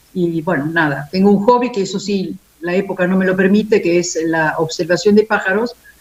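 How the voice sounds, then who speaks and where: Over noticeable background noise, a woman speaks at medium pitch and a fairly quick pace with ordinary pitch variation. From Italy. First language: Italian (speaking Spanish). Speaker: philosophy professor. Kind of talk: panel discussion.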